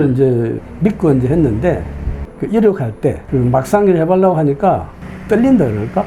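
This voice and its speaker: A man talks at a moderate pace with a fairly high pitch. Noticeable background noise runs under his voice. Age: 70s. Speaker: retiree and student pilot. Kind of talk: interview answer.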